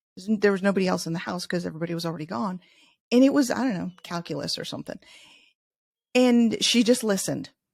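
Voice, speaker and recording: A woman with an American accent speaks at a very fast pace, yet with long, frequent pauses and big swings in loudness. The recording is very clean, with a silent background. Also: medium pitch for a woman, lively intonation. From US Midwest, Chicago. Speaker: leadership author. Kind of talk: interview.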